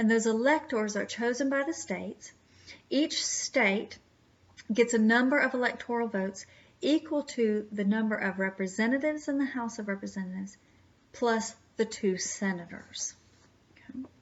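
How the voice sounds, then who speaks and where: This is a plain, everyday voice, moving at a moderate pace with ordinary pitch variation. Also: woman, fairly high pitch for a woman. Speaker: history teacher. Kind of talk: lecture.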